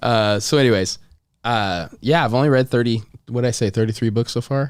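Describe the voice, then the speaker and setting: A man speaks at a fairly quick pace with ordinary pitch variation and very even loudness, on a very clean recording with a silent background. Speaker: pastor. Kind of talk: casual chat.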